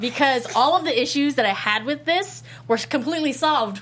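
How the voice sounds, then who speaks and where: Against noticeable background noise, a woman speaks at a fairly quick pace. Her high voice has lively intonation. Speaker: podcast host. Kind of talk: casual chat.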